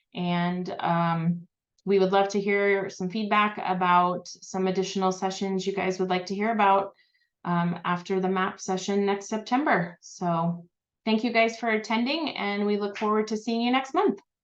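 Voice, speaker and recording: A woman at a moderate pace with fairly even intonation, over a quiet background. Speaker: librarian presenting a webinar; presenter. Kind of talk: online presentation. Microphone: video call.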